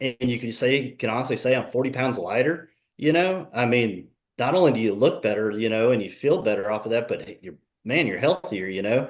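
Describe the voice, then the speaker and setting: Using an unremarkable speaking voice, a man talks at a fairly quick pace with a medium pitch and ordinary pitch variation. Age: 40s. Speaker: fitness program client. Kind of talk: testimony. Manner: casual.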